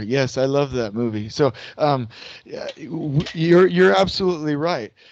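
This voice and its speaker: A man with an American accent at a fairly high pitch, with ordinary pitch variation. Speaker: construction scheduling consultant. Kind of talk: lecture. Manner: slow; interactive, asks audience questions.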